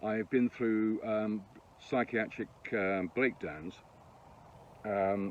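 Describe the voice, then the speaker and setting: Very slow and broken by long, frequent pauses, a man's speech comes in an English accent. His intonation stays fairly even. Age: 60s. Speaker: former financial advisor and aspiring musician. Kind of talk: self-recorded audition monologue. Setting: self-tape recording.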